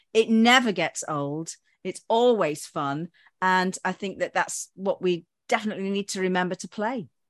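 A woman with an unremarkable speaking voice, medium pitch and ordinary pitch variation at a moderate pace, in a dry, close sound with no echo and a quiet background. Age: 50s. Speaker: podcast host and former drama teacher. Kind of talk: casual interview. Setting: video call.

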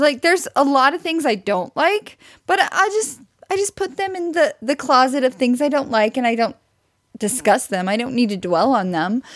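At a moderate pace, a woman with an American accent talks in a high voice that swings very widely in pitch. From US Midwest, near Branson, Missouri. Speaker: podcast co-host. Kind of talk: casual chat. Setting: recording while streaming live on video.

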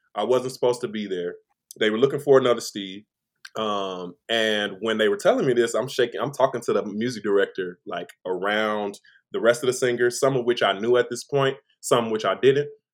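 A man with an American accent speaks at a medium pitch and a fairly quick pace, in an unremarkable speaking voice with ordinary pitch variation. The recording is very clean, the background silent. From Chicago, Illinois. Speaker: singer and vocal producer. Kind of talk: casual interview chat.

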